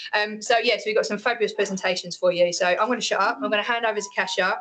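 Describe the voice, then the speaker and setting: A very fast, medium-pitched woman's voice against noticeable background noise. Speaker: event organiser. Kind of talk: event introduction. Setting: in-person talk with audience, recorded. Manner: casual, chatty.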